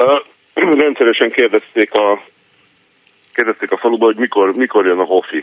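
A man's medium-pitched voice with ordinary pitch variation, very even loudness, a moderate pace, and long, frequent pauses. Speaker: caller. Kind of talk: casual chat. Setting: phone call.

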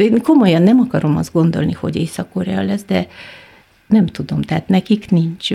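Medium female pitch showing ordinary pitch variation. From Kyrgyzstan. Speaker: film industry professional. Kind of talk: radio interview. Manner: halting.

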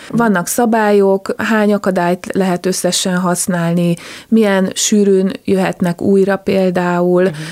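In a dry, close recording with no echo, a woman talks at a fairly slow pace and medium pitch, her loudness very even and her intonation monotone and flat. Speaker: dog agility team captain and judge. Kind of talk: interview. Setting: studio.

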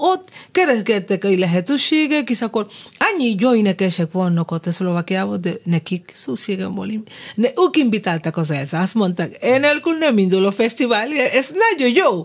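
A woman talks at a moderate pace while her pitch swings very widely. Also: medium pitch for a woman. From Cuba. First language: Spanish (speaking Hungarian). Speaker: jazz singer. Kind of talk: radio interview. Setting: studio. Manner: animated.

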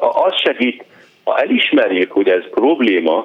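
Here a man is speaking. His pace is very slow. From northern Lebanon. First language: Arabic (speaking Hungarian). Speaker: physician. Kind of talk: radio interview.

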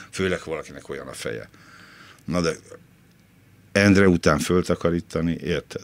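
A man's very deep, low voice with vocal fry, ordinary pitch variation and long, frequent pauses, in a dry, close sound with no echo. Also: moderate pace. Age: 60s. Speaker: former film critic, cleaner. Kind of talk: interview.

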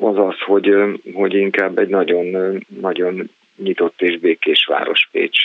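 A man at a moderate pace. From Hungary, Transdanubia (Ajka). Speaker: songwriter, band frontman, university lecturer. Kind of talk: radio interview. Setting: phone call. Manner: halting, many repeated words.

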